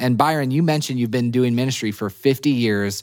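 In a very clean recording with a silent background, a man of medium pitch talks fairly quickly with lively intonation. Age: 30s. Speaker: church leadership podcast host. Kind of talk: casual interview. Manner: animated, laughs often.

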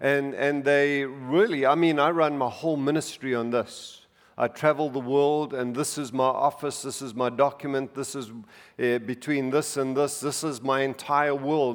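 Heard in a very clean recording with a silent background, a man with a normal speaking voice speaks at a fairly high pitch and a fairly slow pace with fairly even intonation. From outside the US, moved to America in his 40s. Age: 60s. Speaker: preacher. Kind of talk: sermon. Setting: church with congregation.

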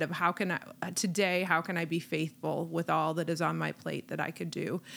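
Vocal fry marks this woman's fairly low voice as she talks at a fairly quick pace. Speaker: part-time teacher and panelist. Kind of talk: casual chat.

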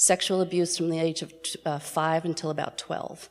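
A woman speaks in a normal speaking voice, with an American accent. Her pitch sits fairly low, and her pace is moderate. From New York City. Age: 60s. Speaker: LGBT+ activist and educator. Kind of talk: talk to live audience. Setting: stage with audience.

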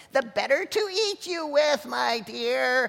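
A bellowing, high-pitched put-on character voice at a fairly slow pace. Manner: roaring, menacing.

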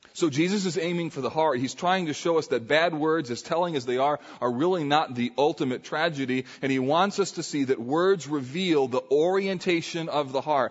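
A man with a fairly high voice talks at a moderate pace with ordinary pitch variation and hardly any pauses, over noticeable background noise. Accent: American. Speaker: pastor. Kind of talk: sermon. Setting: church.

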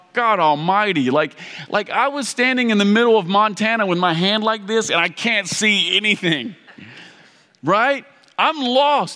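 A man's raised, projected voice in an American accent, high pitched, with lively intonation, very even loudness and a moderate pace. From Kentucky. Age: 40s. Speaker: pastor. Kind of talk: sermon. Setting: church with audience.

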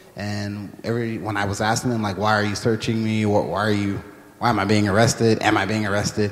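A man with an American accent talks in a fairly low pitch and a flat, monotone delivery. Noticeable background noise sits behind him. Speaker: church member sharing experience. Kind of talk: personal testimony interview.

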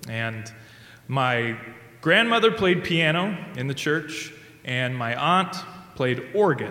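A very slow delivery in a Midwestern American accent, with long, frequent pauses, very wide pitch swings, audible room echo, and noticeable background noise. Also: man, fairly high pitch for a man. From US Midwest, rural Indiana. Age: 30s. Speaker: church music staff, singer. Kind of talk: live storytelling.

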